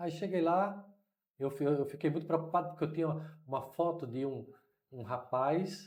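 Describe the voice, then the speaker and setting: A man speaks at a fairly high pitch with ordinary pitch variation, his voice somewhat breathy and carrying audible room echo. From Brazil, Recife (Pernambuco). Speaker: missionary. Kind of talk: interview storytelling.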